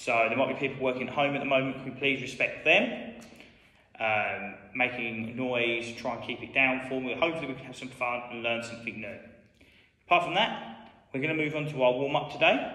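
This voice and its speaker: With audible room echo, a man talks at a fairly quick pace with ordinary pitch variation and big swings in loudness. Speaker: school PE teacher. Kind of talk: tutorial. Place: hall.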